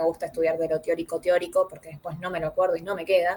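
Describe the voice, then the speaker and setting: A woman's voice at a medium pitch. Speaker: student tutor. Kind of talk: online review class. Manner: fast.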